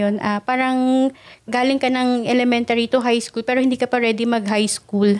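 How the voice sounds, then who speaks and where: A woman speaks in a high pitch with monotone, flat intonation and very even loudness. The recording is very clean, with a silent background. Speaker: podcast co-host. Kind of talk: casual chat.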